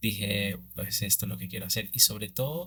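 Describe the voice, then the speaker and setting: A man's fairly low voice with vocal fry, in a Venezuelan Andean accent, on a very clean recording with a silent background. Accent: Venezuelan Andean (Mérida), unlike Caracas. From Venezuela, Mérida (Andes). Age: 30s. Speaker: cinematographer. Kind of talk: interview. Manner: halting, many fillers.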